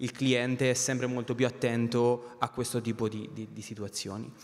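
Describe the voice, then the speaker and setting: A man at a moderate pace in monotone, flat intonation, with faint music in the background. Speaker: company finance director; panelist. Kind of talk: panel discussion. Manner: halting, many repetitions; passionate. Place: stage. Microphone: handheld.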